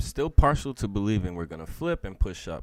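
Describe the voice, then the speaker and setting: A man mumbles at a moderate pace with a fairly low pitch. The recording is very clean, with a silent background. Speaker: forex trader streamer. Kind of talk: live trading commentary. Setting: livestream. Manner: mumbling; casual.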